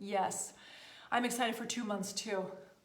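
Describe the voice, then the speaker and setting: The woman's voice sits at a fairly high pitch, moving at a moderate pace. Audible room echo surrounds her. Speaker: style coach and livestream host. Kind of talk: live stream Q&A with viewers. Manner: animated, casual.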